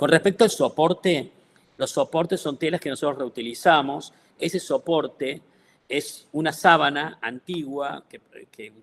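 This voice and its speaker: A man with a Córdoba accent talks at a fairly slow pace and a fairly high pitch, his loudness swinging widely. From Córdoba, Argentina. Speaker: textile artist. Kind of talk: artist talk.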